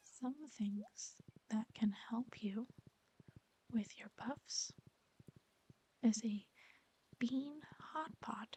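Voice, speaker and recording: At a very slow pace with long, frequent pauses, the speaker is soft-spoken and calm in tone. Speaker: ASMR content creator. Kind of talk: soft-spoken ASMR gameplay voiceover reading facts. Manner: quiet, calm, soft-spoken.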